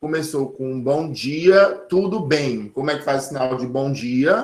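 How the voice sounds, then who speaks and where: Speaking at a very slow pace, a man keeps a fairly high pitch. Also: ordinary pitch variation. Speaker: sign language teacher. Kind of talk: online lecture.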